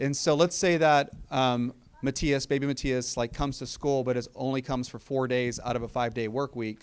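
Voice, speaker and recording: Speaking at a fairly quick pace, a man has a fairly high pitch and an unremarkable speaking voice. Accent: American. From Texas, South Austin. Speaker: school district superintendent. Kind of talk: community meeting Q&A.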